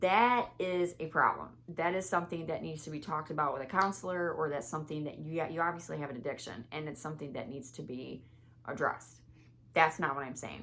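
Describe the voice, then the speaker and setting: Her pitch very deep and low, a woman talks with ordinary pitch variation and big swings in loudness. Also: fairly quick pace. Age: 30s. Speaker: vlogger. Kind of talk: casual vlog monologue. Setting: home, filming at closet. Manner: rambling, self-correcting.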